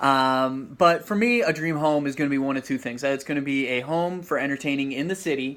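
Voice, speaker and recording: A man with a Midwestern American accent talks at a fairly quick pace, with hardly any pauses and a fairly high pitch. His pitch variation is ordinary, and the recording is very clean with a silent background. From Ohio, Toledo. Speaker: sales manager, home buyer. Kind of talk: casual interview chat.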